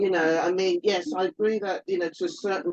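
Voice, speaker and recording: Lively in intonation, a woman with a normal speaking voice talks at a medium pitch and moderate pace in a dry, close sound with no echo. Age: 60s. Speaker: albinism advocate. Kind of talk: panel discussion.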